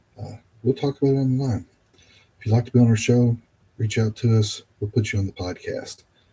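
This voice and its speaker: A man's dark, mellow, somewhat breathy voice at a fairly quick pace, broken by long, frequent pauses. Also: medium pitch for a man. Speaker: podcast host. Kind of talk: podcast outro. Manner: hesitant, repetitive.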